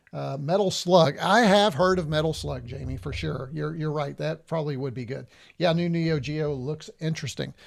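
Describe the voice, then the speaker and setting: Fairly high-pitched, a man talks at a moderate pace with hardly any pauses and ordinary pitch variation, recorded very cleanly against a silent background. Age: 60s. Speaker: retro gaming YouTuber. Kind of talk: live stream gameplay commentary. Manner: casual, hesitant with many fillers.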